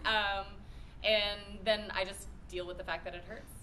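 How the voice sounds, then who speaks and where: A woman's voice comes through with noticeable background noise and audible room echo. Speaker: anime voice actress. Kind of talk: convention panel Q&A.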